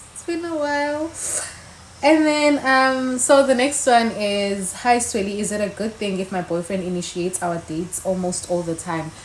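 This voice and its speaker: Over noticeable background noise, a woman at medium pitch sounds animated, with very wide pitch swings, big swings in loudness and a moderate pace. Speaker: YouTuber. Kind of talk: casual chat.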